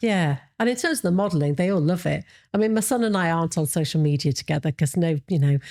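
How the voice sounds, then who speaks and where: In a Yorkshire accent, a woman speaks very fast at a fairly low pitch, her dark, mellow tone paired with lively intonation and very even loudness in a dry, close sound with no echo. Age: 50s. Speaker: model and body confidence activist. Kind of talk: podcast interview answer. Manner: casual, hesitant.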